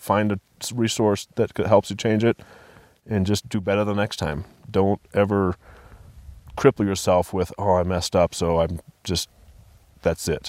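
A man with an American accent and fairly low pitch speaks with long, frequent pauses, the sound dry and close with no echo on a very clean recording with a silent background. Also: fairly even intonation, moderate pace. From Colorado. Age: 40s. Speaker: men's ministry group leader. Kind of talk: casual chat. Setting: outdoors.

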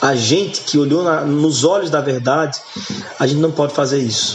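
Both noticeable background noise and audible room echo are present. A man with a fairly high voice speaks at moderate pace with fairly even intonation. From Goiás, Brazil (born Goiânia), raised largely in Northeast Brazil. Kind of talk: casual interview chat.

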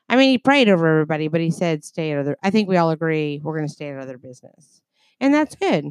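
A woman with a fairly low pitch, animated tone and lively intonation at a very fast pace, with a dry, close sound with no echo. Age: 40s. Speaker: podcast co-host, aunt of the host. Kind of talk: casual chat. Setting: home bedroom.

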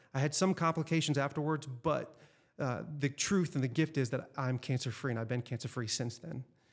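In a very clean recording with a silent background, a man with an ordinary speaking voice talks fairly quickly at a fairly high pitch, his pitch varying in an ordinary way. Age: 40s. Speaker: life coach. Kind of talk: casual interview.

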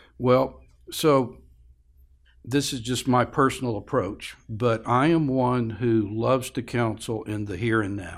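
On a very clean recording with a silent background, a man speaks in an ordinary speaking voice. He goes at a fairly slow pace in a medium pitch with ordinary pitch variation. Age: 60s. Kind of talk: interview conversation. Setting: studio.

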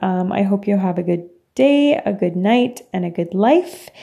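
A woman speaks with a Franco-Ontarian accent at a medium pitch. Her tone is dark and mellow. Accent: Franco-Ontarian Canadian English. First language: French. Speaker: podcast host. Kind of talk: personal monologue. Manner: casual with frequent fillers and laughs.

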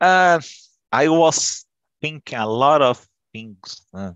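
A man with a Portuguese accent speaks at medium pitch. His voice moves through very wide pitch swings. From Brazil. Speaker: English learner. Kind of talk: casual chat. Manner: halting.

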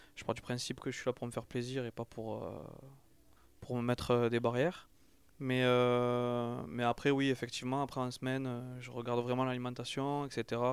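Monotone and flat, a man speaks in a very clean recording with a silent background. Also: medium pitch for a man, moderate pace. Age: 30s. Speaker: ultra-trail runner and gardener. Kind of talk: interview. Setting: recorded in Toulouse.

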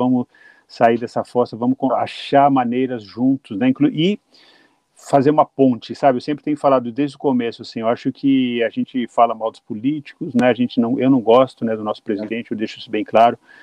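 A man with a normal speaking voice talks at a medium pitch. His intonation is fairly even and his pace fairly quick. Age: middle-aged. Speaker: podcast host and radio journalist. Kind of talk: casual interview chat.

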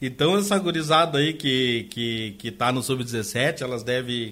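A man's normal speaking voice at medium pitch and a fairly slow pace, in a very clean recording with a silent background. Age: 50s. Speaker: youth football and futsal club coordinator. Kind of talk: radio interview.

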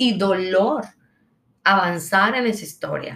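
Very slow speech from a woman, her pitch moving in an ordinary way. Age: 30s. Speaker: podcast host and abuse survivor. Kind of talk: personal monologue. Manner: halting.

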